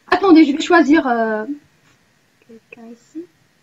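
A woman speaks in a high pitch with an Arabic accent. Her intonation is lively. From Morocco. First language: Arabic (speaking French). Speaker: university student, language exchange participant. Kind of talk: casual online group chat, self-introduction. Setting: video call.

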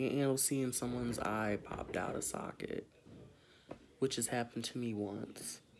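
At a moderate pace, a man speaks with fairly even intonation over noticeable background noise. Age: 20s. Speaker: beauty vlogger. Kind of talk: makeup tutorial. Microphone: phone near.

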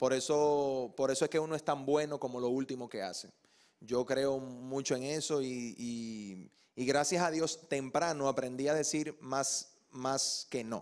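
The background is quiet. A man speaks at a fairly slow pace with fairly even intonation. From Dominican Republic, Santo Domingo; Dominican Republic. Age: young. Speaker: actor and TV presenter; actor, TV presenter. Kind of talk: TV interview. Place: studio. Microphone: handheld.

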